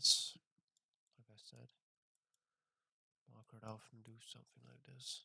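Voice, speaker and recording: A man speaks with long, frequent pauses and big swings in loudness. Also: fairly slow pace. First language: not English. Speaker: trader streaming his trading session. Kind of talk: live trading commentary. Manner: casual, halting with fillers.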